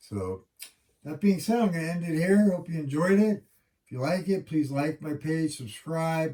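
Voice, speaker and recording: Mumbling in a put-on character voice, a man speaks at a moderate pace with a fairly high pitch. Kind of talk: casual video sign-off.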